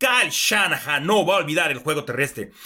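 A man's raised, projected voice, animated and bright and sharp, with lively intonation on a very clean recording with a silent background. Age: 50s. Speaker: sports analyst. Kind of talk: sports analysis show.

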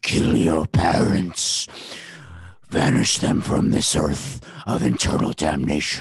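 A man puts on a character voice with a very deep, low pitch. He speaks fairly slowly. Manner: menacing, commanding.

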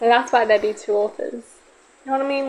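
Noticeable background noise is audible. Over it, the intonation stays fairly even. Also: woman. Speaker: podcast host. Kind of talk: casual chat. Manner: loud.

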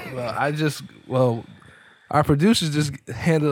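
On a very clean recording with a silent background, a man with a normal speaking voice speaks at a fairly high pitch with ordinary pitch variation. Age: 30s. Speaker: podcast co-host. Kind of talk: casual chat.

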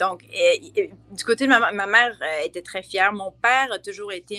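At a moderate pace, a woman with a medium pitch and a bright, sharp tone speaks with ordinary pitch variation in a dry, close sound with no echo. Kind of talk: casual interview.

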